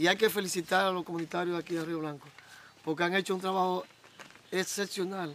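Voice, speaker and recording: At a very fast pace yet with long, frequent pauses, a man speaks in a high pitch with monotone, flat intonation. The sound is dry with no echo, with light background noise. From Dominican Republic. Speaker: local official promoting electrification project. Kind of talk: on-site interview statement. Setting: outdoors in rural community. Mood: proud, upbeat. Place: open country.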